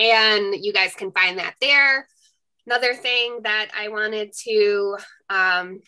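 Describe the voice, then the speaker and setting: A woman speaks at a very slow pace. Her intonation is fairly even, with a quiet background. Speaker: webinar co-host. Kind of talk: housekeeping announcements. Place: home room. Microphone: video call.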